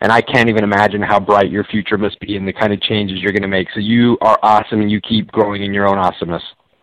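A man with an American accent talks at a very fast pace, with hardly any pauses, in a fairly low voice. His tone is enthusiastic. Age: 50s. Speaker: motivational author and speaker. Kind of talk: live radio interview. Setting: remote call.

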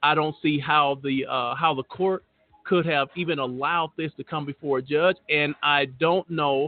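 The man's pitch is fairly high, and he has a plain, everyday voice. He keeps to a moderate pace with fairly even intonation. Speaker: exoneration advocate and co-host. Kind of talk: radio panel discussion.

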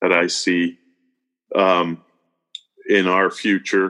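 A man speaks with an American accent. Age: 50s. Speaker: farmer. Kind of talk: interview.

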